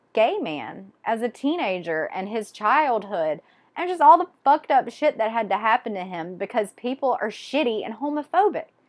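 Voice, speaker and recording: In a Southern US accent, a woman with a high pitch speaks at a fairly slow pace in an animated tone against a quiet background. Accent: Southern US (Georgia). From Georgia, US South. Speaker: book vlogger. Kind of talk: casual monologue.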